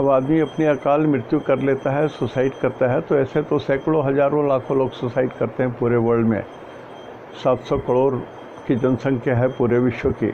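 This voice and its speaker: With noticeable background noise, a man speaks at a medium pitch in a monotone, flat intonation. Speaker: astrologer. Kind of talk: casual talk on astrology. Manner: soft, low volume.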